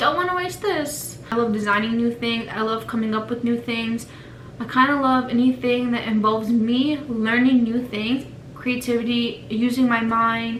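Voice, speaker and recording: A woman with a fairly high pitch and fairly even intonation is heard through noticeable background noise and audible room echo. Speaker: vlogger. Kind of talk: casual vlog introduction. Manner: fast.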